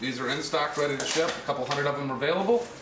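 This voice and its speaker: Amid noticeable background noise and audible room echo, a man talks very fast at a fairly high pitch with lively intonation. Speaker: exotic leather seller. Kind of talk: product demonstration. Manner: casual.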